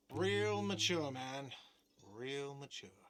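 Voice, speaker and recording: Putting on a character voice, a man whines at a medium pitch. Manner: shouting, complaining.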